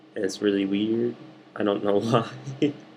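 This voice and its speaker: Quiet, monotone delivery from a man with a fairly low pitch and flat intonation. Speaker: art student vlogger. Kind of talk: casual video diary.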